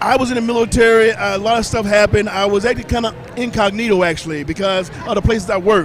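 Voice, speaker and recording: A man's high-pitched voice at a very fast pace, hardly any pauses, ordinary pitch variation, and noticeable background noise. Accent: American. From US South, small-town Mississippi. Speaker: celebrity chef and fitness personality. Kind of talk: casual interview.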